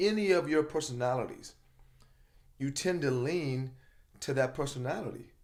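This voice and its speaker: Audible room echo surrounds a man speaking in a passionate tone with ordinary pitch variation. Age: 50s. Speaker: motivational speaker and coach. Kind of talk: casual chat. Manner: passionate, loud.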